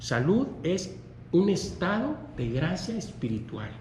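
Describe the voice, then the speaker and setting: Pitch swings very widely as a man speaks at a very slow pace. Audible room echo surrounds his voice. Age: 60s. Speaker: preacher. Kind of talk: sermon. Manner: halting.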